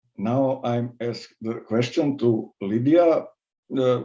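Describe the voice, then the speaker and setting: A dark, mellow voice with ordinary pitch variation speaks in a Serbian accent. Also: man. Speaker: high school philosophy teacher. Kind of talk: question from audience. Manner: halting.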